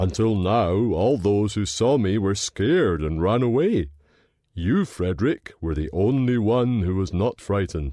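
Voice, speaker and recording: With a quiet background, a man performs a put-on character voice at a fairly low pitch and a moderate pace. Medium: read story.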